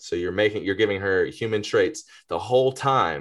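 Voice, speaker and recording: A man speaks with an Atlanta accent against a quiet background. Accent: Southern US (Atlanta). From Greater Atlanta, US South. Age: 30s. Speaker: rapper. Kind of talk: casual chat.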